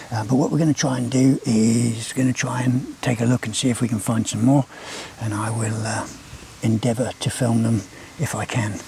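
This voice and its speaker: A man talks at a moderate pace in a medium-pitched voice with fairly even intonation. Noticeable background noise is present. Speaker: wildlife vlogger. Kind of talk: nature vlog commentary. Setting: outdoors at night. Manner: casual, hesitant with fillers.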